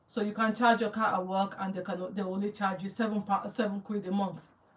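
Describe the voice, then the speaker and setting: A woman speaks with a strong Nigerian accent in a monotone, flat intonation. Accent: Nigerian accent, still strong. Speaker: YouTuber. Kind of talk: live Q&A with viewers. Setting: livestream. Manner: halting.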